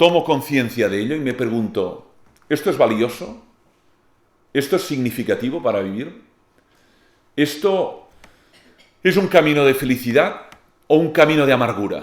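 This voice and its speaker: In a Catalan accent, a man speaks at a fairly high pitch and moderate pace with lively intonation. Long, frequent pauses break up his speech, and audible room echo surrounds it. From Catalonia, Spain. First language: Catalan (speaking Spanish). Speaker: philosopher and lecturer. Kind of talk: lecture.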